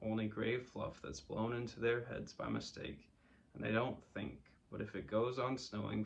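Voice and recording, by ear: The voice is natural. It is reading aloud.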